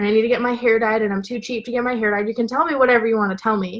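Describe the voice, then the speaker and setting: A woman's animated, fairly high voice at a very fast pace. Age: 20s. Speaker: business and mindset coach. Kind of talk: livestream motivational talk. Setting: live video stream. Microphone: laptop mic.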